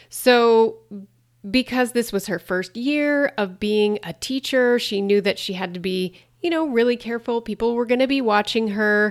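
A woman's fairly high voice with an American accent, a normal speaking voice with ordinary pitch variation, on a very clean recording with a silent background. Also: moderate pace. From US, rural Montana. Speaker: podcast host, wellness coach. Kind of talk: solo podcast monologue.

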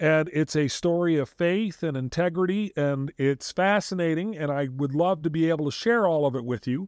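An ordinary speaking voice from a man, fairly high-pitched with ordinary pitch variation, at a moderate pace with hardly any pauses, in a very clean recording with a silent background. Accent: American. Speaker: podcast host. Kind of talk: casual chat.

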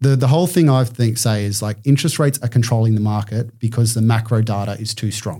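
A man with an Australian accent speaks very fast at a medium pitch, with hardly any pauses and ordinary pitch variation. His tone is dark and mellow, somewhat breathy, and the recording is very clean with a silent background. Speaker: commercial property buyer's agent. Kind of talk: podcast interview. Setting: studio.

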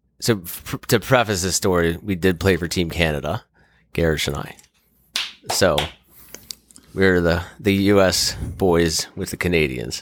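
In an American accent, a man speaks fairly slowly with a very deep, low pitch, ordinary pitch variation, long, frequent pauses and big swings in loudness. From Maryland, US. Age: 30s. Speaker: lacrosse player and hunter. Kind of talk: casual chat.

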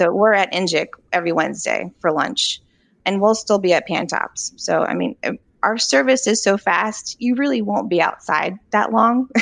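In an American accent, a woman talks at a moderate pace with vocal fry. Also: medium pitch for a woman, lively intonation. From Virginia, Charlottesville. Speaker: food truck co-owner. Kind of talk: interview.

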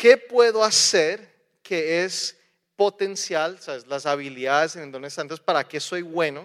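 At a fairly slow pace, a man talks in a fairly high voice with ordinary pitch variation, the sound dry and close with no echo. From raised partly in the US, partly in Colombia. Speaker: preacher. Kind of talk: sermon.

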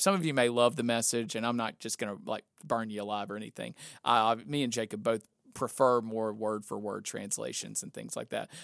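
Speaking at a fairly quick pace, a man with a medium pitch and a normal speaking voice lets his loudness swing widely. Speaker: pastor and podcast host. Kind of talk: casual chat.

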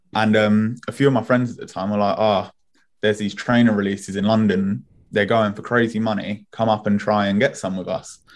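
Talking at a fairly quick pace, a man with a British accent keeps a flat, monotone intonation. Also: fairly low pitch for a man. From Spain, then England from age ten. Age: 20s. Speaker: streetwear brand founder. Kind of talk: podcast interview.

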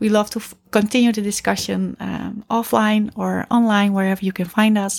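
Speaking at a moderate pace in a Dutch accent, a woman uses a medium pitch and fairly even intonation. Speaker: podcast co-host, coach. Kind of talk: casual chat.

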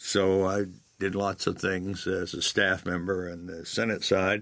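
With an American accent, a man speaks at a moderate pace in a very deep, low pitch and a monotone, flat intonation, on a very clean recording with a silent background. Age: 70s. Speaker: recovery program founder. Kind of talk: interview storytelling.

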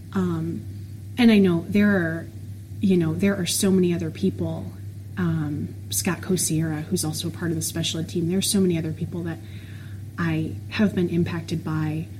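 Amid noticeable background noise and audible room echo, a woman speaks with an American accent at a moderate pace. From Florida. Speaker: special education teacher. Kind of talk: casual interview.

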